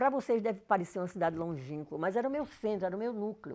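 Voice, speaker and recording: Talking at a very fast pace, a woman uses lively intonation and a dark, mellow tone. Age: 80s+. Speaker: professor. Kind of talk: personal life story talk.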